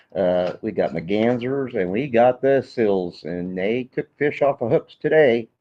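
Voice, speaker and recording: With an American accent, a man in an unremarkable speaking voice talks fairly slowly at a medium pitch, his intonation lively and with hardly any pauses. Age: 60s. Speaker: veteran local angler. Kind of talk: casual chat on live stream. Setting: in the store, live stream.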